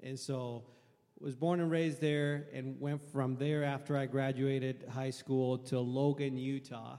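With a Puerto Rican accent, a man speaks at a fairly slow pace in a dark, mellow, medium-pitched voice with monotone, flat intonation. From Puerto Rico. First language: Spanish. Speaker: air force veteran. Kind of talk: panel testimony.

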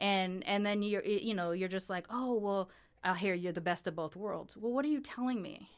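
In a very clean recording with a silent background, a woman with an American accent speaks in a normal speaking voice at medium pitch, with ordinary pitch variation and a moderate pace. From Long Beach, California. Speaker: podcast host and producer. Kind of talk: casual interview conversation.

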